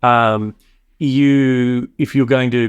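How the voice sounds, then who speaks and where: His intonation is fairly even. The man talks in an Australian accent. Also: quiet background. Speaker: tech company founder. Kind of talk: podcast interview.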